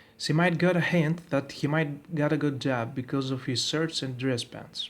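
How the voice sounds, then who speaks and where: A man with a non-native accent, a fairly high pitch and fairly even intonation. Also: moderate pace. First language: not English. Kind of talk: video commentary voice-over.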